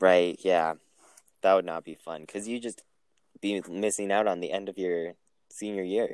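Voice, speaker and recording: Recorded with a dry, close sound and no echo, a man with a very deep, low pitch talks at a moderate pace with fairly even intonation, big swings in loudness, and long, frequent pauses. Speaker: podcast co-host, college student. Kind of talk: casual chat. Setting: remote recording.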